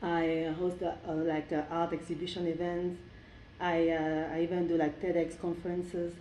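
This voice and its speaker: A woman's fairly low voice in a French accent, dark and mellow in tone, with monotone, flat intonation, very even loudness, a moderate pace and audible room echo. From Cameroon. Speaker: cultural event organizer. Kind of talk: interview. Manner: halting.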